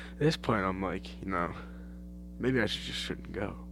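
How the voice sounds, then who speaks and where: With music in the background and audible room echo, a man speaks in an American accent. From Australia. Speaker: podcaster. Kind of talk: casual monologue. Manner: animated.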